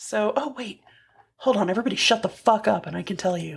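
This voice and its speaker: A woman's fairly high voice with vocal fry. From Texas. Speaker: podcast co-host. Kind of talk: casual chat.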